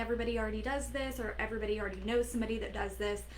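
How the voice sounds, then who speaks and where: A woman is speaking. Room echo is audible, and there is noticeable background noise. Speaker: business coach. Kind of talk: live stream talk. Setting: Facebook live video. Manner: animated.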